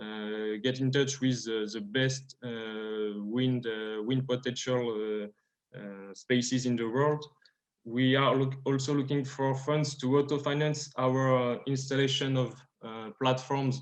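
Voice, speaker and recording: A man's medium-pitched voice with a French accent. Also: fairly even intonation, fairly slow pace. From France. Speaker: startup founder. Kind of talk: pitch presentation. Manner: halting, many fillers.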